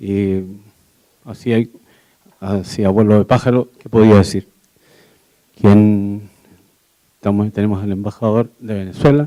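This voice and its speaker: With a dark, mellow tone, a man talks at a fairly low pitch and fairly even intonation. His loudness swings a lot, and his pauses are long and frequent. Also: fairly slow pace. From Chile. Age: 70s. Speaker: audience member. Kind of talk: audience question.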